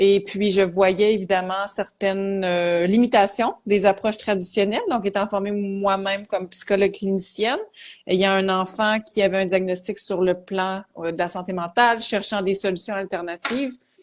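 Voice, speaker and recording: A woman's medium-pitched voice with a Quebec accent, at a moderate pace with monotone, flat intonation, against a quiet background. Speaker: psychologist. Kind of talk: interview.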